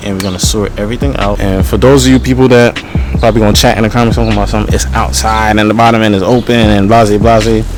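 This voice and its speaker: Very deep, low male voice racing along very fast with very wide pitch swings, music in the background and audible room echo. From Caribbean. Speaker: car mechanic and engine builder. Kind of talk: casual tutorial vlog. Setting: outdoors in a backyard.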